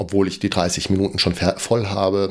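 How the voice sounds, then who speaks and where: This man speaks with a fairly low pitch. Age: 40s. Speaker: running podcaster. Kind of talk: solo podcast monologue, running diary. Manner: hesitant, many fillers.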